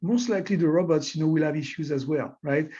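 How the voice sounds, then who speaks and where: With a French accent, a man speaks in a dark, mellow tone. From France. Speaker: technology executive and scientist. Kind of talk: webinar interview. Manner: hesitant, many fillers.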